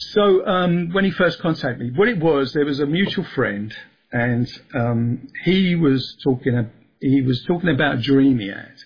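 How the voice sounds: A man speaks with lively intonation. His voice has a slightly husky edge. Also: medium pitch for a man, moderate pace.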